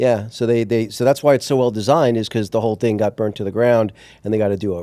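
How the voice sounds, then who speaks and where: A man with an American accent, medium pitch and a dark, mellow tone, very fast pace, fairly even intonation, on a very clean recording with a silent background. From US Northeast, Long Island, New York. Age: 50s. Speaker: entrepreneur. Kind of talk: interview.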